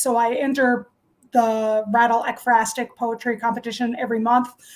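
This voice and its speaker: Using a normal speaking voice, a woman speaks at a fairly high pitch and a moderate pace. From Newfoundland, Canada. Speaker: poet and short story writer. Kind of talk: interview answer.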